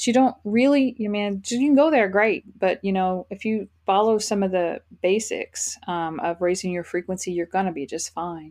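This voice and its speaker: A woman with a normal speaking voice at a moderate pace, hardly any pauses, against a quiet background. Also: medium pitch for a woman, ordinary pitch variation. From Texas, Fort Worth. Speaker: spiritual life coach. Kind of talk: interview.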